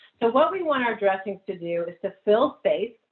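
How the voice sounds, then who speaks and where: A woman's fairly high voice at a moderate pace. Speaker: wound care nurse educator. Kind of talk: lecture. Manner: loud.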